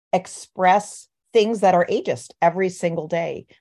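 Her tone is dark and mellow, set at a medium pitch, and she speaks fairly slowly with lively intonation. The woman is heard against a quiet background. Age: 60s. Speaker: physician and medical correspondent. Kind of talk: interview.

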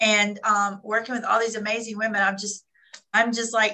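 Her fairly high voice carries a bright, sharp tone as the woman speaks at a moderate pace. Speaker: author.

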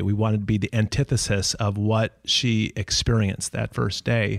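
The speaker has an unremarkable speaking voice with an American accent. The recording is very clean with a silent background, and the sound is dry and close with no echo. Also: man. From Minnesota. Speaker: retail entrepreneur, co-founder. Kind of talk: casual interview.

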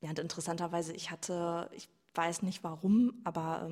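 At a moderate pace, a woman talks with a fairly low pitch. Her voice is somewhat breathy and her intonation monotone and flat. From Germany, Sauerland (Iserlohn). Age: 20s. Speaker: coaching client, physiotherapist. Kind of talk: personal testimony in interview.

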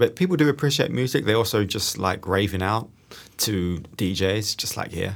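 The speaker has a New Zealand accent. The recording is very clean, with a silent background. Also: man, fairly low pitch for a man, ordinary pitch variation, moderate pace. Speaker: guitarist and online music creator. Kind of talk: casual interview chat. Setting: rehearsal space. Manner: calm, relaxed.

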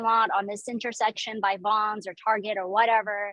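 A woman in a Southern California accent, fairly high-pitched, with monotone, flat intonation. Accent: General American, Southern California. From Orange County, California. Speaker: pitmaster and restaurant owner. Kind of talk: interview. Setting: outdoors by the barbecue pits.

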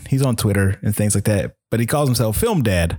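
A man with an American accent in a normal speaking voice, fairly quick, with lively intonation. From US South, Virginia (Chesapeake). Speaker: hobbyist photographer. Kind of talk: casual chat.

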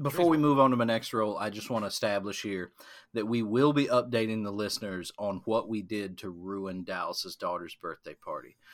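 A man in an American accent with an ordinary speaking voice, medium pitch, ordinary pitch variation, fairly quick pace, and big swings in loudness. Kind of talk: casual banter.

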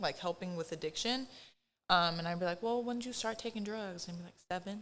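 This woman has a plain, everyday voice, pitched in the medium range with ordinary variation. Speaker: therapist. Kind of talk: casual chat.

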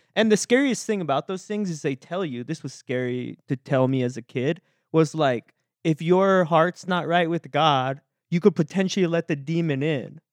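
A man with an American accent and a plain, everyday voice speaks at a moderate pace, his pitch fairly high and ordinary in variation. The sound is dry and close with no echo, against a quiet background. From Texas. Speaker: podcast guest. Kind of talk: casual chat.

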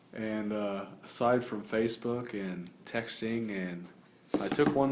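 A man's fairly low voice at a very slow pace with fairly even intonation, audible room echo and noticeable background noise. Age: 20s. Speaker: podcast host. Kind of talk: casual chat.

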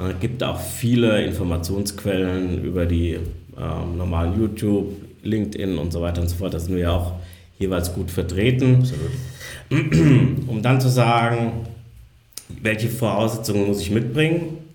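A man speaks with a fairly low pitch. The room adds audible echo. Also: ordinary pitch variation. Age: 40s. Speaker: real estate investment advisor. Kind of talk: podcast interview.

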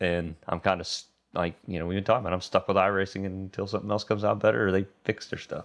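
The man's voice is fairly low in pitch with fairly even intonation. He talks at a very fast pace. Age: 40s. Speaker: podcast host. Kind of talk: casual chat.

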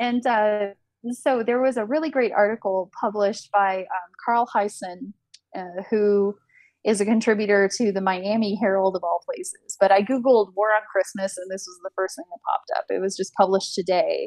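A normal speaking voice from a woman at medium pitch and a moderate pace, with ordinary pitch variation, big swings in loudness and a dry, close sound free of echo. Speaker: podcast co-host. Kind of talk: casual conversation.

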